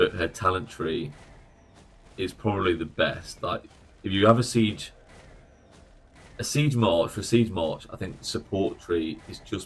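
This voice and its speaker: A man talks at a fairly slow pace with an English accent. His voice is somewhat breathy. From England. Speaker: gaming streamer. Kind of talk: live stream commentary. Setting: live stream. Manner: casual, conversational.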